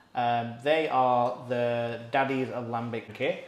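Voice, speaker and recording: Against audible room echo, a man speaks at medium pitch with monotone, flat intonation. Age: 30s. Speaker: podcast host. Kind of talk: casual chat.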